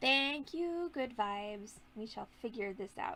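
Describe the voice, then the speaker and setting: This woman's voice sits fairly high in pitch and shows ordinary pitch variation. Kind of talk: live-stream tutorial. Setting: live stream from home on laptop. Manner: loud. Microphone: laptop mic, possible echo.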